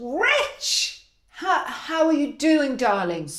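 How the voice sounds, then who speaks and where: A female-sounding voice puts on a character voice with a London accent, pitched high. The pace is very slow. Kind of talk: polished media voice. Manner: confident, chummy.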